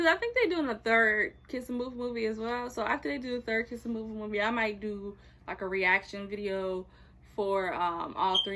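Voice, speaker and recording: A woman's bright, sharp tone with ordinary pitch variation. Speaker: YouTuber reviewing TV shows. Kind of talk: casual vlog chat. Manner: fast.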